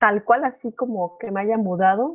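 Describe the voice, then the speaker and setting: Someone with a Mexican accent speaks at a moderate pace with fairly even intonation. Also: woman. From Mexico. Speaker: au pair and master's student. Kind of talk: casual chat. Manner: halting, many repeated words.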